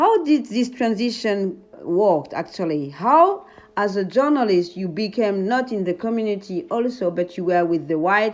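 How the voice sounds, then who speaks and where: A woman with medium pitch and a normal speaking voice talks at a fairly slow pace with lively intonation. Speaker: podcast host. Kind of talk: podcast interview questions.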